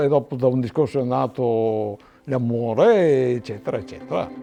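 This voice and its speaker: A man speaks at a moderate pace. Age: 60s. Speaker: winegrower. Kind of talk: testimony. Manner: halting.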